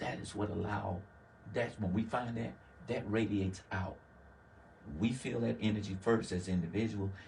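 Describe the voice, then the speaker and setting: With a slight Southern US accent, a man speaks at fairly low pitch with vocal fry, fairly even intonation and a moderate pace broken by long, frequent pauses, all in audible room echo. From US South, Laurel, Mississippi. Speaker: community worker. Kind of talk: interview.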